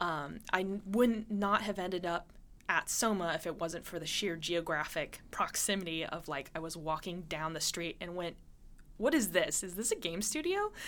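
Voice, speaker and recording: With a normal speaking voice, the speaker goes at a moderate pace with ordinary pitch variation. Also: woman, fairly low pitch for a woman. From Montana, US. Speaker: game designer. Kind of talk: casual chat.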